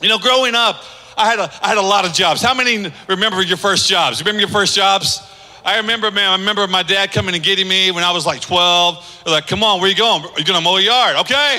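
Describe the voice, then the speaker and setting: A man with a high pitch talks at a very fast pace in a raised, projected voice with an animated tone and ordinary pitch variation. His loudness stays very even over noticeable background noise. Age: 50s. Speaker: pastor. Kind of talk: sermon.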